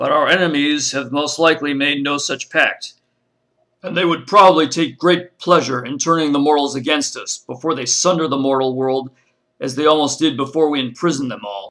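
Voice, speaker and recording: A man puts on a character voice at a fairly high pitch. He talks at a fairly quick pace. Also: ordinary pitch variation. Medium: read story.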